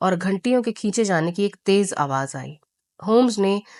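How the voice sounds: Quiet surroundings and a natural reading voice with lively intonation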